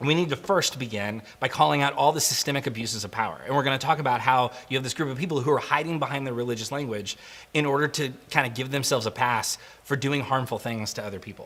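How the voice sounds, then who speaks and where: The man's pitch stays mid-range while he talks at a very fast pace. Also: ordinary pitch variation. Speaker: guest pastor. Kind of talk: sermon. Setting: recorded without live audience.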